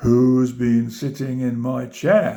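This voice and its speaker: A man uses a put-on character voice at a medium pitch. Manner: indignant cry.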